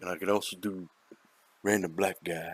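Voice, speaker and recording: A very deep, low pitch is heard. It belongs to a man. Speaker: gaming streamer. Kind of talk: gameplay commentary. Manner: loud.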